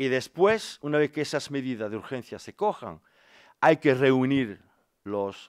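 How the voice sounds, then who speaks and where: The speaker has a French accent and talks at a fairly slow pace. The background is quiet. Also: man. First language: French (speaking Spanish). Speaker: politician, former steelworker; politician. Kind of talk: press conference. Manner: halting. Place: meeting room. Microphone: podium.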